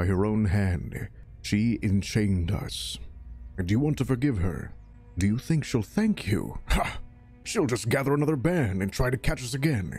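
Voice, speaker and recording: With faint music in the background, a man uses a put-on character voice at a fairly low pitch and a moderate pace. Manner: bitter, then jubilant.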